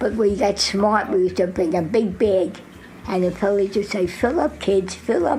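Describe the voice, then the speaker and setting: Over noticeable background noise, a woman with an American accent speaks at a moderate pace and medium pitch, with ordinary pitch variation and very even loudness. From Jersey City, New Jersey. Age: 80s+. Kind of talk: interview answer.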